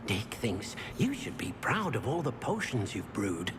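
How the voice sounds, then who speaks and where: Over loud background noise, a man puts on a character voice at a moderate pace and a medium pitch. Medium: video game. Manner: eager, servile.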